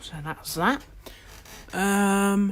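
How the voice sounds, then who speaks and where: A woman speaks in a British accent. The recording is very clean, with a silent background. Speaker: model railway hobbyist streamer. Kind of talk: live stream tutorial. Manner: slow.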